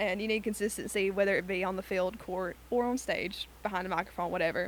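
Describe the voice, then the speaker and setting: A woman with an Alabama accent talks at a fairly quick pace and a medium pitch. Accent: Southern American (Alabama). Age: 20s. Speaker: university student. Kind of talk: casual chat. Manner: animated.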